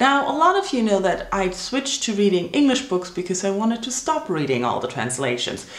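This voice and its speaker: Very wide pitch swings mark this fairly quick speech with a German accent. Noticeable background noise and audible room echo surround it. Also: woman. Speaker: book vlogger. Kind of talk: casual vlog monologue.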